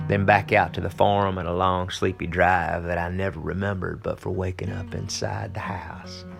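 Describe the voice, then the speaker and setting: Music plays in the background as a speaker with an American accent talks at a moderate pace with ordinary pitch variation. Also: man. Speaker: singer and actor. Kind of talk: spoken word poetry reading.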